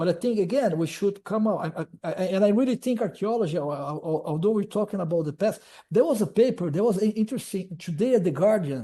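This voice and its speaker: A man talks very fast at a high pitch with hardly any pauses. His tone is dark and mellow, and his intonation lively. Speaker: archaeology professor. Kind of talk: webinar Q&A answer. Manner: halting, repeats words.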